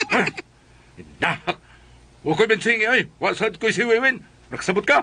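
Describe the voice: Putting on a character voice, a man talks at a moderate pace and a high pitch, with lively intonation, a bright, sharp tone and a slightly husky edge.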